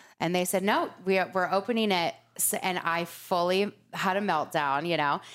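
Medium pitch from a woman, very even loudness, ordinary pitch variation, moderate pace, very clean recording with a silent background. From Laguna Beach, Southern California. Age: 40s. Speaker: beauty shop founder. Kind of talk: casual interview.

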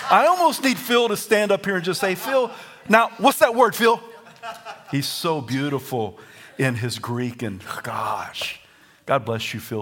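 A man with a Southern US accent speaks at a fairly slow pace in a high voice with an animated tone. His pitch swings very widely, his loudness shifts a great deal, and there is noticeable background noise. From US South. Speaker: pastor. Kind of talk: sermon. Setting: church.

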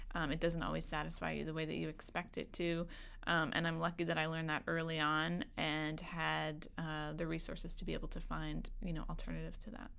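The speaker talks at a fairly quick pace with hardly any pauses, in an American accent. Audible room echo surrounds the voice. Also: woman. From Kentucky, US. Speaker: food job website co-founder. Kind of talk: casual chat. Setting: studio.

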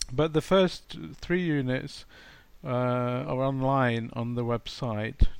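A man with an English accent speaks at a very slow pace with ordinary pitch variation. The recording is very clean, with a silent background. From England. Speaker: English teacher and materials writer. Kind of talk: interview.

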